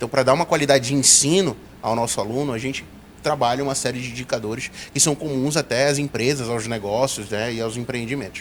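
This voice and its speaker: Amid noticeable background noise, a man talks at a very fast pace with a medium pitch and fairly even intonation. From Brazil, Pará (Belém). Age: 30s. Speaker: university director. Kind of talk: interview.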